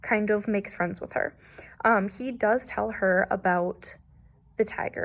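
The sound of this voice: This is an unforced reading voice. It reads the text aloud.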